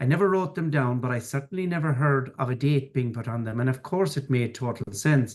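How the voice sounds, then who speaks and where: A man with an Irish accent, medium-pitched, fairly quick and with hardly any pauses, with ordinary pitch variation. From Ireland, rural farming background. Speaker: financier and business mentor. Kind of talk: podcast interview.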